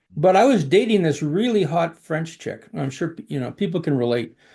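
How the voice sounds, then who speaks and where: Over a quiet background, a man with a Canadian accent and vocal fry speaks at a fairly quick pace with lively intonation. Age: 60s. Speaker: executive recruiter. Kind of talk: interview storytelling. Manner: halting, many fillers.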